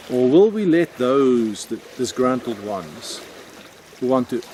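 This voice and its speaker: A man with a South African accent, medium pitch and a fairly slow pace, amid noticeable background noise. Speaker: video blogger. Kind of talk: personal reflection monologue.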